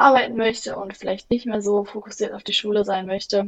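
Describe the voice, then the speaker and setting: Fairly quick and fairly even in intonation, a woman talks in an ordinary speaking voice of medium pitch. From Germany, Bielefeld. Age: 20s. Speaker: office management apprentice. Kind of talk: interview.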